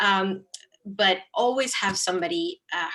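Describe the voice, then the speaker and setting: A woman's medium-pitched voice with a Spanish accent and a bright, sharp tone. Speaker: nonprofit account manager, alumni panelist. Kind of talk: panel discussion.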